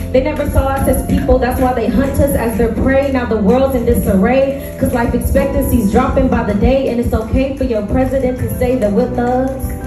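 A woman is speaking in a room with audible echo. Music comes through clearly behind her. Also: hardly any pauses. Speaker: spoken word poet. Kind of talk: spoken word poetry performance. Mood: intense, impassioned. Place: stage. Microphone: pa.

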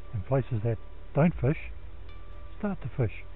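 A man at a fairly slow pace, dry sound with no echo and light background noise. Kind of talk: casual vlog commentary. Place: waterside. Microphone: phone near.

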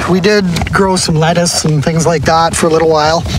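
Moderate pace, dry sound with no echo, and noticeable background noise. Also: man. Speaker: homesteader vlogger. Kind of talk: casual vlog chat. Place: forest. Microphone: phone near.

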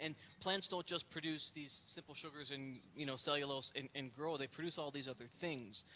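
Over light background noise, a man with a normal speaking voice and fairly high pitch talks at a moderate pace, with fairly even intonation and hardly any pauses. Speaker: science education panelist. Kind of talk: panel discussion. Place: office. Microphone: headset.

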